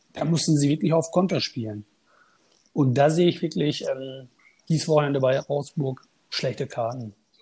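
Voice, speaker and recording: Somewhat breathy and dark, mellow in tone, a man with a fairly high pitch speaks at a moderate pace with ordinary pitch variation and long, frequent pauses. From Münster, Germany. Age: 30s. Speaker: fantasy football player, podcast guest. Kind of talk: casual interview chat.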